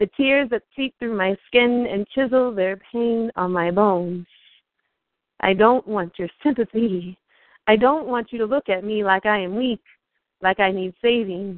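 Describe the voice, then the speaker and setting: A woman with an American accent and an unremarkable speaking voice talks at a fairly slow pace with a fairly high pitch and ordinary pitch variation. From US Midwest, Iowa. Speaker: poet, military veteran. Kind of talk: poetry performance.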